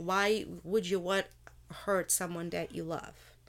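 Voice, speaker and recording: A woman with a Portuguese accent speaks at a medium pitch, fairly slowly and with fairly even intonation. Her recording is very clean, with a silent background. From Portugal. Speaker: host's wife, bank employee. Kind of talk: casual chat.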